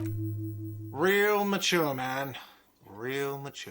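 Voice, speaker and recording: Using a put-on character voice, a man shouts in a whiny way. His pitch sits at a medium level. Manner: whiny, shouting.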